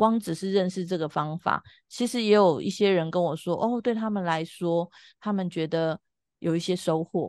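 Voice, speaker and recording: A woman's normal speaking voice, fairly low in pitch with ordinary pitch variation, in a dry, close sound with no echo against a quiet background. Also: moderate pace. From Taiwan, Taipei. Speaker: family constellation facilitator. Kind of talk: casual interview chat.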